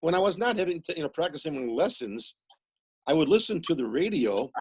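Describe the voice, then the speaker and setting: A man talks at a fairly quick pace with a high pitch and very wide pitch swings. The sound is dry and close, with no echo. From US Midwest, Milwaukee. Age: 60s. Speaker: musician and author. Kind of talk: casual interview chat.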